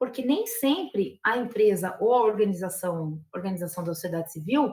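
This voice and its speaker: In a rural São Paulo accent, a woman speaks with lively intonation and a somewhat breathy voice. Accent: São Paulo countryside (caipira). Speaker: university professor, lobbying expert. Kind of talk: lecture.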